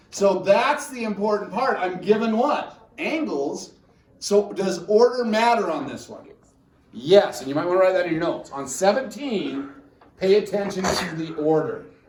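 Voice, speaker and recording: The man's voice is high-pitched, with lively intonation and big swings in loudness. There is audible room echo and noticeable background noise. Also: moderate pace. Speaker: high school math teacher. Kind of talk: classroom lecture. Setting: classroom with students.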